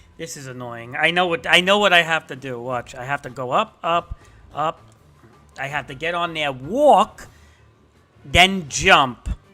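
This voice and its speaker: Over background music, a man speaks with an animated tone and a fairly high pitch. His pitch varies in an ordinary way, and he takes long, frequent pauses. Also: fairly slow pace. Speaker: gaming streamer. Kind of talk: live gameplay commentary. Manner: stutter.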